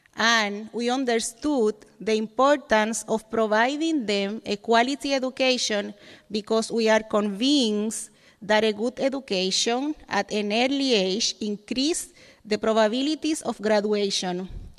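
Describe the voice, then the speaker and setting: Fairly slow speech from a woman in a Dominican accent, fairly high in pitch, with ordinary pitch variation. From Dominican Republic. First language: Spanish. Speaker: educator. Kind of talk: reading aloud.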